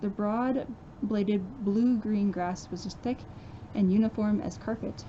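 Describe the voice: Simply plain reading aloud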